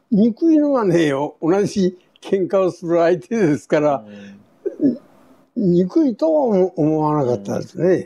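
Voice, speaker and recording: A man's high-pitched voice, fairly slow, with very wide pitch swings. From Kure, Hiroshima, Japan. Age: 80s+. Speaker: war veteran. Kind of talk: testimony. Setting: at home.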